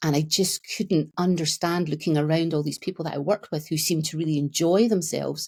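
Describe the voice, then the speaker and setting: A woman with a Scottish accent speaks at a fairly quick pace with fairly even intonation and a very deep, low pitch, in a very clean recording with a silent background and a dry, close sound with no echo. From Scotland. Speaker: therapist. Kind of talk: podcast interview.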